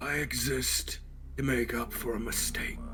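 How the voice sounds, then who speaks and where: A man uses a put-on character voice at a moderate pace. Loud background noise fills the recording. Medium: actual play. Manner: solemn, measured.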